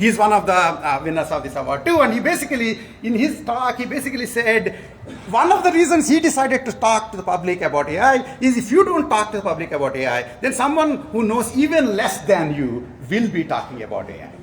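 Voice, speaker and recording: A man with an Indian accent speaks at an extremely high pitch and a fairly quick pace, with very wide pitch swings. Audible room echo and noticeable background noise are present. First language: Telugu. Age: 60s. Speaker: professor. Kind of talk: award lecture. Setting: conference hall with audience. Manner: halting, many fillers.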